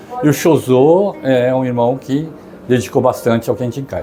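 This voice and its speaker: Music plays in the background as a man with a medium-pitched voice talks at a moderate pace. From Brazil. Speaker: descendant of Japanese immigrants. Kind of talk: testimony.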